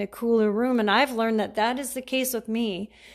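A woman's fairly high voice at a fairly quick pace with ordinary pitch variation, in a very clean recording with a silent background. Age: 50s. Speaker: caregiving podcaster. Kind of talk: casual monologue. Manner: hesitant, many fillers.

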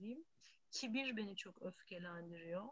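A woman of medium pitch speaks in a somewhat breathy voice. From Istanbul, Turkey. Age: 40s. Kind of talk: casual chat.

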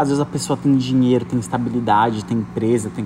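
A man's speech moves at a fairly quick pace. Behind it there is noticeable background noise. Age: 30s. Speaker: podcast host. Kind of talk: casual monologue. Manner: animated.

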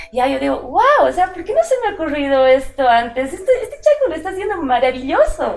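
An extremely high-pitched woman's voice, very fast, with very wide pitch swings over noticeable background noise. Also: hardly any pauses. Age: 40s. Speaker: illustrator and comic artist. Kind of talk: interview. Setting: at her home studio.

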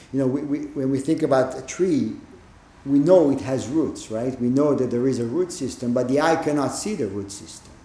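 A man speaks at a fairly quick pace with fairly high pitch and ordinary pitch variation. His dark, mellow tone is somewhat breathy, with audible room echo. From Israel. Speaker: Zen teacher. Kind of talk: dharma talk.

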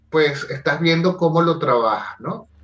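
A man speaks at a fairly slow pace in a fairly high voice. Noticeable background noise can be heard. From Venezuela (Caracas). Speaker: life coach and theatre director. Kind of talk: interview conversation. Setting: at home, remote call. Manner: animated.

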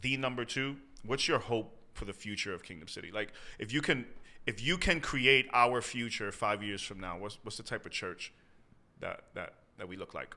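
A man at a medium pitch talks at a moderate pace, his loudness swinging widely and his pitch varying in an ordinary way. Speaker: pastor. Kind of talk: casual podcast interview.

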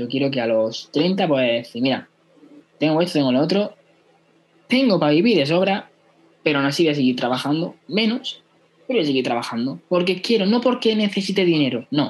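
Speaking at a moderate pace, a man with a fairly high pitch swings very widely in pitch and leaves long, frequent pauses. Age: 20s. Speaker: e-commerce entrepreneur. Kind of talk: casual interview.

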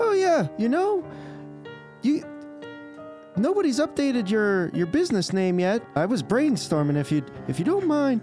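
A squeaky, put-on character voice speaks at a fairly slow pace with long, frequent pauses and very even loudness. Clear music plays in the background. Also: man, high pitch for a man.

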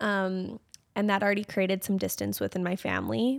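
In a dry, close sound with no echo, a woman with a Canadian accent uses a normal speaking voice at a medium pitch and a fairly quick pace. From Canada, Calgary area. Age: 20s. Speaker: social media creator. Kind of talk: casual interview chat.

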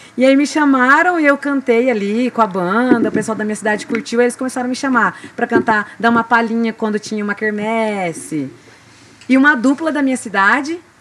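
Intonation is lively as a woman speaks at a moderate pace, her pitch fairly high. Background noise is noticeable. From Mato Grosso do Sul, Brazil. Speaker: singer. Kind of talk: interview conversation. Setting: recording with small audience.

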